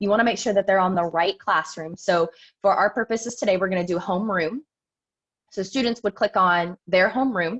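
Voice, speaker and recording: At a fairly quick pace, a woman talks in a medium pitch with ordinary pitch variation, the sound dry and close with no echo. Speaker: elementary school teacher presenting to parents. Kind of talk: tutorial. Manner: fast.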